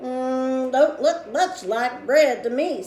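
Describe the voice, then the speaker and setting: A woman's put-on character voice, high-pitched and very slow, with clear background noise. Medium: read story. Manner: drawling, dubious.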